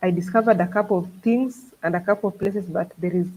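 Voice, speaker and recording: The voice has a dark, mellow tone, somewhat breathy, moving at a fairly quick pace. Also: woman. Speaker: travel vlogger. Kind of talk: live stream chat with viewers. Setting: live stream. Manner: animated.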